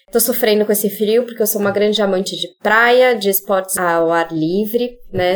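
A woman with an unremarkable speaking voice, pitched in the middle range. She talks at a moderate pace. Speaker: series host and business partner. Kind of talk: casual panel conversation. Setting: video call.

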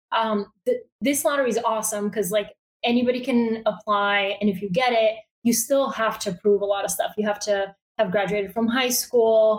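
With a Bulgarian accent, a woman talks in a fairly high pitch and fairly even intonation. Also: moderate pace. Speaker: newsletter founder, journalist. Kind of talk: interview. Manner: casual, filler-heavy (um, like).

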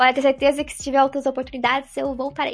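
Very fast and high-pitched, a woman rattles through her words. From Santa Catarina coast, southern Brazil (Barra Velha). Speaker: esports presenter and stage actress. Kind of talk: interview.

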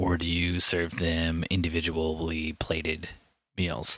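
A man with an American accent, his pitch very deep and low, at a very slow pace. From US Midwest. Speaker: podcast host. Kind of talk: casual chat. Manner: joking.

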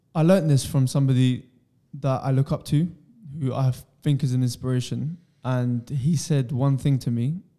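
A man's medium-pitched, dark, mellow voice at a moderate pace with fairly even intonation. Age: 20s. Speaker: podcast host. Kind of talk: casual podcast chat.

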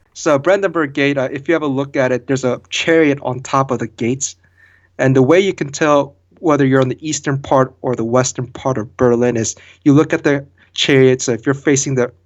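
Here is an ordinary speaking voice: a man with an American accent at a medium pitch. He goes at a fairly quick pace with fairly even intonation over a quiet background. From Korea and Baltimore, Maryland. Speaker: vehicle test engineer and podcast co-host. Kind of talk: casual interview chat.

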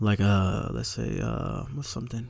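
A man is speaking. His pitch sits fairly low. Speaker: podcast host. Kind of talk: casual chat, rant. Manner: talkative, chatty.

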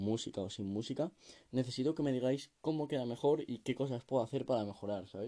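A man talks with a dark, mellow tone and ordinary pitch variation. The background is quiet. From Spain, Madrid region (sierra village). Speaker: amateur podcaster. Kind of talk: casual solo monologue. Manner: halting, many fillers.

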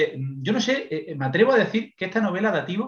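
A man speaks, his pitch high. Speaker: podcast contributor, book reviewer. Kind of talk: casual chat. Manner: fast.

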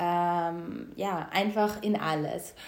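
A woman's voice with ordinary pitch variation. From Austria, Styria, rural. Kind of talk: casual interview.

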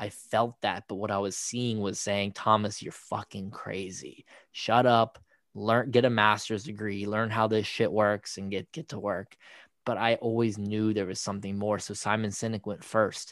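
Against a quiet background, a man with an ordinary speaking voice talks at a moderate pace and a fairly low pitch, his intonation fairly even, the sound dry and close with no echo. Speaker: podcast co-host. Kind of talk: casual conversation.

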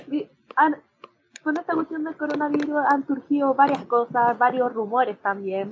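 A high-pitched woman with a Chilean accent talks at a moderate pace with ordinary pitch variation. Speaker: podcast co-host, law student. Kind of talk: casual chat.

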